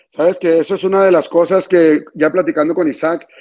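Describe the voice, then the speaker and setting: At a moderate pace, a man talks in an ordinary speaking voice with fairly high pitch. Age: 30s. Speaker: regional Mexican music singer. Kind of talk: interview.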